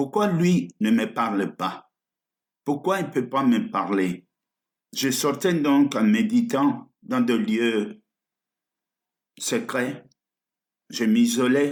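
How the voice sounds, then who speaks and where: Speaking at a very slow pace, a man with a fairly high pitch uses very wide pitch swings, big swings in loudness, and long, frequent pauses. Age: 70s. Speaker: pastor. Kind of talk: sermon.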